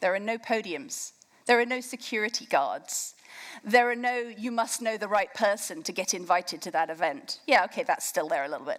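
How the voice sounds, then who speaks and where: In an English accent, a woman speaks at a fairly high pitch and fairly quick pace. Her intonation is lively. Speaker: campaign co-founder. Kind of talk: keynote speech. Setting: stage with audience.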